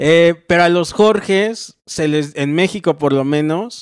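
A man's fairly high voice with a central Mexican accent at a very slow pace, against a quiet background. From Mexico, Morelos; Mexico. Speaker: comedian. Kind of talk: casual chat. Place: home room. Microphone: handheld.

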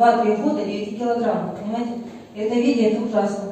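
A woman's monotone, flat delivery at a fairly high pitch and moderate pace, with strong room echo and light background noise. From Russia. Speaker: family doctor. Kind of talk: casual testimonial. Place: meeting room.

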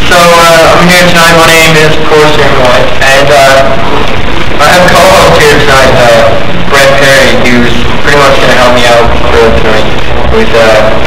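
A man speaks at a moderate pace with ordinary pitch variation. Loud background noise and audible room echo surround him. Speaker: show host. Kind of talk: stage hosting banter. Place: stage. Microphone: old recording.

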